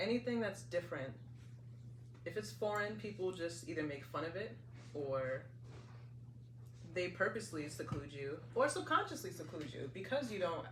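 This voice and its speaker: Audible echo from the room plus noticeable noise in the background. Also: woman. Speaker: podcast co-host. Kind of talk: casual chat.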